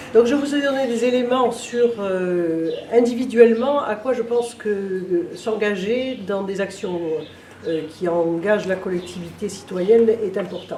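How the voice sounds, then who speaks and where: A woman speaks at a fairly slow pace in a fairly high pitch with ordinary pitch variation, against noticeable background noise and audible room echo. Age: 60s. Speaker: local political candidate. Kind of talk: interview. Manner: hesitant, many filler sounds.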